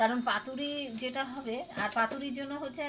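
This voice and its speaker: Over noticeable background noise, a woman speaks in a high voice with ordinary pitch variation. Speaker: home cook, mother of the channel owner giving the voice-over. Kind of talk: cooking vlog narration. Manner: casual, explanatory, friendly.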